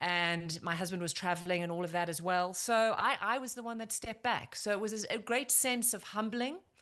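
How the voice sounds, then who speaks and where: A woman with a South African accent and a bright, sharp tone, at a fairly quick pace with hardly any pauses and ordinary pitch variation, against a quiet background. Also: medium pitch for a woman. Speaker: former TV news correspondent and anchor. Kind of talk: podcast interview.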